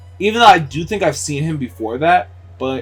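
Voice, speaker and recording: With music playing behind him, a man talks at a moderate speed, his pitch swinging very widely. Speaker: gaming YouTuber. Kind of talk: gameplay commentary. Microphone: recorded as post commentary after mic issues.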